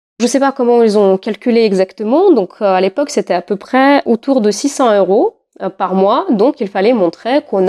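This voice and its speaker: In a Russian accent, a woman speaks at a fairly slow pace with a fairly high pitch and a dark, mellow tone. Her intonation is lively, and the sound is dry and close with no echo. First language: Russian (speaking French). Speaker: podcast host. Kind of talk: casual chat.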